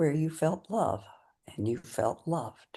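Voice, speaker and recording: A woman speaks very slowly in a very deep, low pitch. Her tone is calm and somewhat breathy. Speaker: meditation guide. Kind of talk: guided meditation. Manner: slow, calm.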